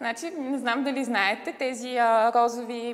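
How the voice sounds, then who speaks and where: A woman's high-pitched voice at a moderate pace over noticeable background noise. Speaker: model and TV commentator. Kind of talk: TV interview. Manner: animated storytelling.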